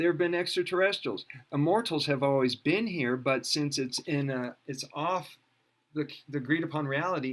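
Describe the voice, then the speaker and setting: A man speaks in an unremarkable speaking voice that sits fairly high in pitch and shows ordinary pitch variation. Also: moderate pace. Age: 60s. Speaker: alternative health teacher. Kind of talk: interview. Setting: video call.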